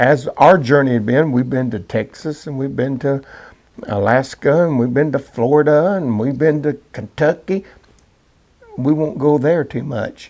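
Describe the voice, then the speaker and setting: A man with an ordinary speaking voice talks at a fairly slow pace and fairly high pitch, with ordinary pitch variation. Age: 60s. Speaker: co-host, gospel singer. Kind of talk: casual chat.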